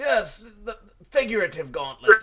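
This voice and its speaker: A man does a put-on character voice, high in pitch with very wide swings. He keeps a moderate pace. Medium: actual play. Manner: grandiose, forgetful, irritable.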